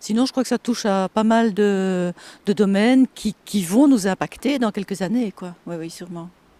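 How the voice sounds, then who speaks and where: A woman's medium-pitched voice, dark and mellow in tone, with ordinary pitch variation, big swings in loudness and a moderate pace, in a dry, close sound with no echo on a very clean recording with a silent background. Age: 50s. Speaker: communications manager nearing retirement. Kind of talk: interview. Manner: hesitant.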